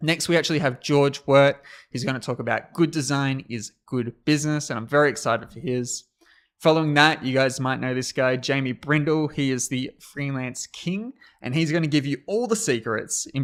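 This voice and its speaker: A man with a strong Australian accent, fairly high pitch, energetic and animated tone, ordinary pitch variation, and a moderate pace. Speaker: conference host. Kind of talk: livestream hosting. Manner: energetic, animated.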